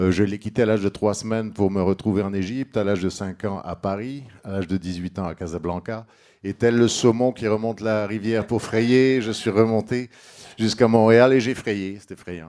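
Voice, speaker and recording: Fairly even intonation and a dark, mellow tone carry this voice at a moderate pace. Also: man, fairly low pitch for a man. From Egypt. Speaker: political candidate. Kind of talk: political debate. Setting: bar with live audience.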